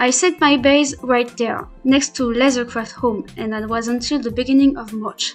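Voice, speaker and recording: With music in the background, a woman speaks at a moderate pace in a high pitch, with fairly even intonation and hardly any pauses. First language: not English. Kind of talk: Minecraft gameplay voiceover. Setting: poor home microphone. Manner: hesitant, not fluent.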